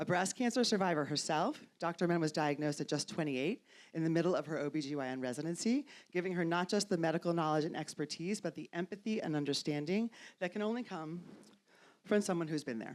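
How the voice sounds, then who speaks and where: A woman with an American accent speaks very fast at a fairly low pitch with ordinary pitch variation. The recording is very clean, with a silent background. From New York. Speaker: panel moderator. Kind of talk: panel introduction, reading bios.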